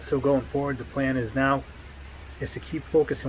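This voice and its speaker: A man speaks with a New England accent. His pace is fairly quick. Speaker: competitive pistol shooter vlogger. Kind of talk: casual vlog monologue. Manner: casual, halting with many fillers.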